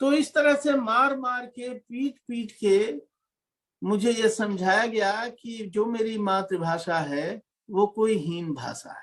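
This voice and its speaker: A man speaks with high pitch and lively intonation. His loudness swings widely. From Bhojpuri-speaking region of India (eastern UP / Bihar), rural village. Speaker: lecturer, academic on Bhojpuri. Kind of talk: lecture Q&A answer.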